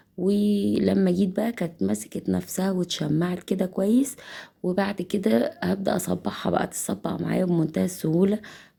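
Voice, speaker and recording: A woman with an Egyptian accent, a fairly low pitch and a dark, mellow tone speaks at a moderate pace, using lively intonation and vocal fry. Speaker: cooking channel host. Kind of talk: cooking tutorial. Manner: casual, chatty.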